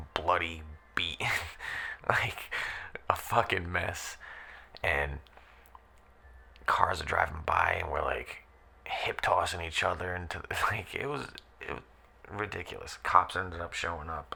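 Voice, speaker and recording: A man whispers at a fairly slow pace, with long, frequent pauses. Noticeable background noise sits behind him. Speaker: former backyard wrestler. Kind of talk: casual podcast monologue. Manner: calm.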